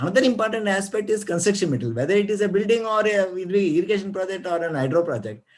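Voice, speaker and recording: A man with a high pitch and ordinary pitch variation speaks amid audible room echo. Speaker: retired geologist. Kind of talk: lecture. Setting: video call. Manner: fast; halting.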